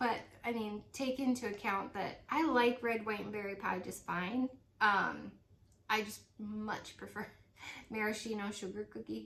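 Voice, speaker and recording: Over noticeable background noise, a woman speaks fairly slowly with a fairly high pitch and fairly even intonation. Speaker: independent home fragrance consultant. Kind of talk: casual product review vlog. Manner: hesitant, many fillers.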